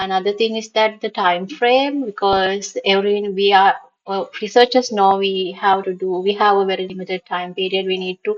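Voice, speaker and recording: A woman talks at a moderate pace and medium pitch. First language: not English. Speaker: research consultant and YouTube educator. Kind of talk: tutorial. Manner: halting, with many fillers; chatty.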